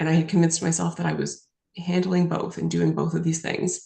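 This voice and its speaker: A woman is speaking. She has a Western Canadian accent. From British Columbia, Canada. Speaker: lawyer and author. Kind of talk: interview answer.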